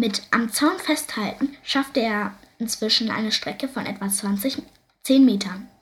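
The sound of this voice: The reading is delivered in an unforced reading voice, its pitch varying in an ordinary way.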